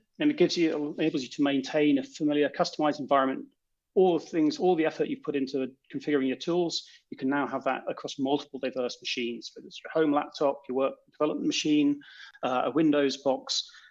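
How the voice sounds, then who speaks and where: Against a quiet background, a man with a British accent talks at a very fast pace, his fairly high pitch held in fairly even intonation while his loudness swings widely. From Britain. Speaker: software developer. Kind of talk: conference talk.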